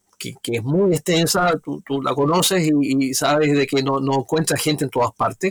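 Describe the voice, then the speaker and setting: On a very clean recording with a silent background and a dry, close sound with no echo, a man talks with ordinary pitch variation. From southern Chile, Magallanes (Punta Arenas). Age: 60s. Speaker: tour guide, guides association president. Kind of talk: interview. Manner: halting, many repeated words.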